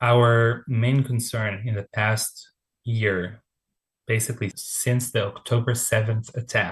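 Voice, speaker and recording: In an Israeli accent, the speaker talks at a very slow pace in a somewhat breathy voice with monotone, flat intonation. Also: man, medium pitch for a man. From Israel, Tel Aviv. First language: Hebrew. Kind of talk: interview.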